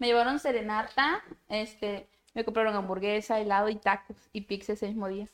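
A woman speaks at a fairly quick pace, her fairly high pitch carried on fairly even intonation. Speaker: podcast co-host. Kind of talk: casual chat. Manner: blunt.

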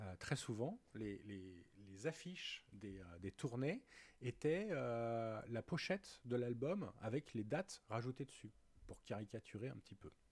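Speaking at a very slow pace, a man with a medium pitch uses lively intonation and big swings in loudness. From Rhône-Alpes, France. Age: 40s. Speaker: music association president. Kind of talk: interview. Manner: halting, frequent repetitions.

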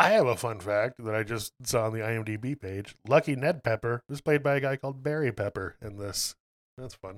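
A man with an ordinary speaking voice talks at medium pitch and a moderate pace, with ordinary pitch variation and big swings in loudness. The recording is very clean and silent behind him, with a dry, close sound and no echo. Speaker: podcast co-host. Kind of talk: casual chat. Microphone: desk mic on new boom arm.

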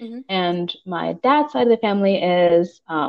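A woman with an American accent talks in an ordinary speaking voice at medium pitch and a moderate pace. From Pittsburgh, Pennsylvania. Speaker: PhD student and NASA engineer. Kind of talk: casual chat.

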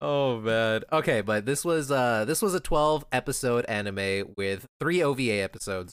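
The speech flows at a moderate pace with hardly any pauses. Its intonation is lively. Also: man, medium pitch for a man. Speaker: podcast host. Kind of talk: casual chat. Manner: animated.

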